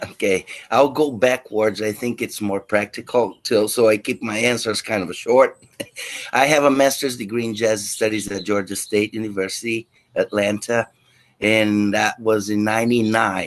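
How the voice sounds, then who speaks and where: With a slight Brazilian accent, a man speaks at a fairly low pitch with fairly even intonation. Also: moderate pace. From Brazil, Rio de Janeiro. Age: 50s. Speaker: guitar teacher. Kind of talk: interview.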